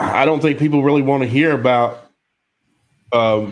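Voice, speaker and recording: Recorded very cleanly against a silent background, a man talks at a moderate pace with a fairly high pitch and ordinary pitch variation. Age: 40s. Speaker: podcast co-host. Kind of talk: casual chat. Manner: halting.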